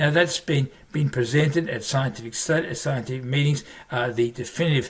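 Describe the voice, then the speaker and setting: A man talks at a fairly high pitch with ordinary pitch variation and an Australian accent. His voice is somewhat breathy. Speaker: family physician, medical educator. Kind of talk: medical lecture. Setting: virtual presentation.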